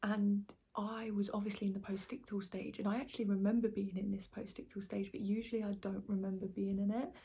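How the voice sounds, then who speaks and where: Soft-spoken and somewhat breathy, a woman with an English accent talks at a very fast pace in a dark, mellow tone with fairly even intonation. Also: medium pitch for a woman. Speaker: vlogger. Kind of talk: personal testimony vlog. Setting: at home late at night. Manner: quiet, speaking softly late at night.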